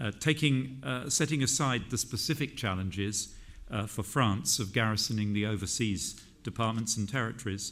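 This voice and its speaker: At a moderate pace, a man of medium pitch speaks with a British accent and ordinary pitch variation. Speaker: government minister giving a conference speech. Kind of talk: formal political speech at a conference.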